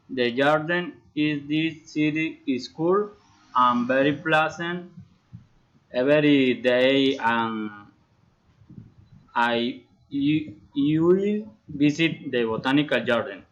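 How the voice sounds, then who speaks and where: Using a Colombian accent, a man with a fairly high pitch and ordinary pitch variation talks at a very slow pace with long, frequent pauses. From Colombia, Bucaramanga. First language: Spanish. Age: 30s. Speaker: engineering student. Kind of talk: prepared self-introduction in a learned language. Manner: halting, with repetitions.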